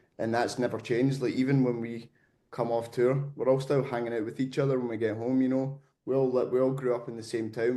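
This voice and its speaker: A man with a Scottish accent speaks very fast at a medium pitch. His tone is dark and mellow, and his intonation is flat and monotone. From Scotland. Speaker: metal band vocalist. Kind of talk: interview.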